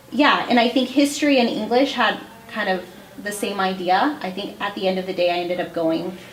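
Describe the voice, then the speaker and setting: Lively intonation from a woman at medium pitch and a fairly quick pace, with audible room echo and noticeable background noise. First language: Spanish. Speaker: school principal. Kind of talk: podcast interview. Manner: conversational, hesitant with fillers.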